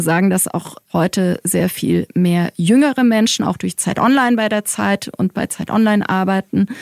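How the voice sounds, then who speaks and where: This woman has an unremarkable speaking voice at medium pitch, with ordinary pitch variation and a moderate pace. The recording is dry and close, with no echo. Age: 40s. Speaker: head of corporate communications at a publisher. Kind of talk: interview. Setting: studio at the publisher's office.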